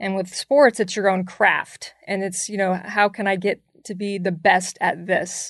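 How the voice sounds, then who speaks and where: In a normal speaking voice, a woman with an American accent talks at a fairly slow pace and a medium pitch. Her intonation is fairly even, and the sound is dry and close with no echo. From US South. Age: 30s. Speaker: basketball analyst. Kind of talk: interview. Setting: studio.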